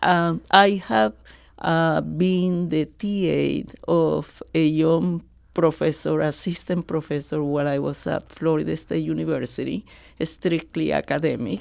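A woman speaks at a fairly slow pace with a strong Colombian accent. The recording is very clean, with a silent background. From Colombia, Barranquilla. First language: Spanish. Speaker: retired radiology professor. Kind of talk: radio interview.

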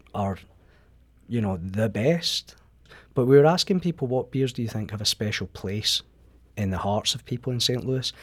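In a Scottish accent, a man speaks at a medium pitch and a moderate pace, with lively intonation and long, frequent pauses. The recording is very clean, with a silent background. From Scotland. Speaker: magazine writer. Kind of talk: radio interview. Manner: halting.

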